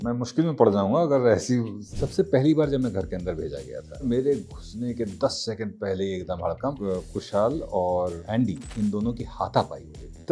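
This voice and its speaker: A man's medium-pitched voice with lively intonation and big swings in loudness, music in the background. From India. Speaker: voice actor. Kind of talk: interview answer.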